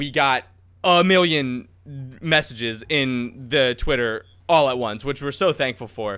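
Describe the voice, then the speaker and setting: A man with a bright, sharp tone speaks at a fairly slow pace with ordinary pitch variation. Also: medium pitch for a man, very clean recording, silent background. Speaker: podcast host. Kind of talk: casual chat. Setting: home recording in a hot room. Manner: occasional stutter.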